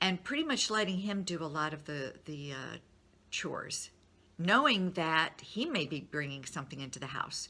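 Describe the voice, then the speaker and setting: On a very clean recording with a silent background, a woman speaks with a very deep, low pitch and a bright, sharp tone. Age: 60s. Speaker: nutrition advisor and motivational speaker. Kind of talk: motivational talk to followers. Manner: casual, conversational.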